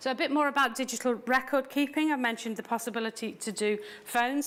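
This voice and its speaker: A woman talks rather quickly, her pitch rising and falling a normal amount. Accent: British. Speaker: tax authority official presenting. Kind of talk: seminar presentation.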